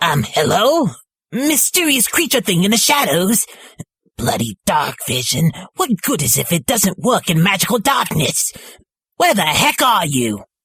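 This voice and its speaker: In a put-on character voice at middle pitch, the speaker moves at a moderate pace with very wide pitch swings. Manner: annoyed, nagging.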